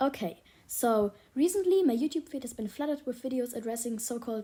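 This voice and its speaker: With a German accent, a woman talks at a fairly quick pace in a high, dark, mellow voice with lively intonation. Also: very clean recording, silent background. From Germany. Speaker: YouTube commentator. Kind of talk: video essay rant.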